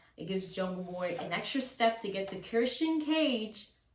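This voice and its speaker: Audible room echo surrounds a woman's bright, sharp voice at medium pitch. She sounds animated and speaks at a moderate pace. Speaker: wrestling YouTuber. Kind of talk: casual commentary monologue.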